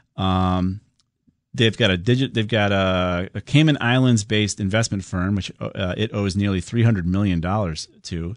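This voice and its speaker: At a fairly slow pace, a man with a normal speaking voice talks at a fairly low pitch with ordinary pitch variation. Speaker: radio host. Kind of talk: live radio call-in show. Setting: radio studio.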